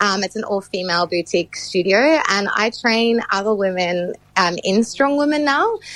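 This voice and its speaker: Over noticeable background noise, a woman at a medium pitch talks at a moderate pace with lively intonation and hardly any pauses. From South Africa. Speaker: strongwoman athlete and trainer. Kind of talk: radio interview. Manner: hesitant, many fillers.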